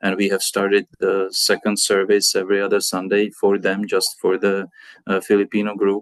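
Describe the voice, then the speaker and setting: A man with a Czech accent speaks at a moderate pace in a monotone, flat way, his loudness very even. The sound is dry and close, with no echo. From Czech Republic. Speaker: pastor. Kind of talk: interview. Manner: halting, many fillers.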